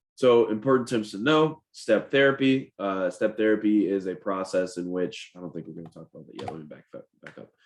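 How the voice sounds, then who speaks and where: A man with a fairly low pitch uses lively intonation, and his loudness swings widely. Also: fairly quick pace. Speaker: licensed insurance agent. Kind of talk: educational webinar presentation. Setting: live webinar. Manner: fast.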